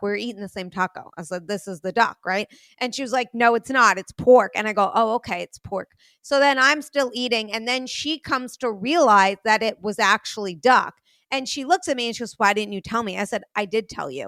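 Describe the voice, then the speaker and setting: A woman with a New York accent speaks at a fairly quick pace in a fairly high pitch, her bright, sharp tone moving with ordinary pitch variation in a very clean recording with a silent background and a dry, close sound with no echo. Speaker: podcast host. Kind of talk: casual chat. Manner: blunt, forceful delivery.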